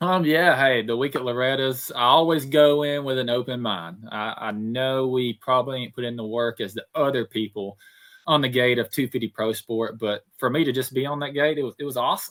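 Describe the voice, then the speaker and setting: In a Southern US accent, a man talks at a fairly quick pace with hardly any pauses. His pitch is medium, with ordinary variation. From Alabama. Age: 20s. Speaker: motocross racer. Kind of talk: podcast interview.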